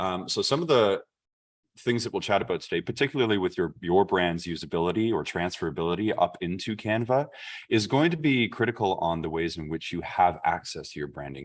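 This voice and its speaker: A man talks with a Canadian accent. His pitch is fairly low and his pace fairly quick. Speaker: chamber of commerce staff, workshop presenter. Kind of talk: online workshop presentation. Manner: fast.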